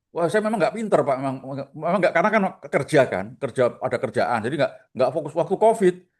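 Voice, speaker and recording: A man speaks with a strong Surabaya accent at a high pitch. His pace is very fast and his intonation lively. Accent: strong Surabaya Javanese. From Surabaya, East Java. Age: 60s. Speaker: retail stock investor. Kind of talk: casual chat.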